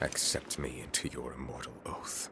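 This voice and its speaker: A man whispers in a put-on character voice at a moderate pace. Loud background noise fills the clip. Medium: short film. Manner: stern, measured.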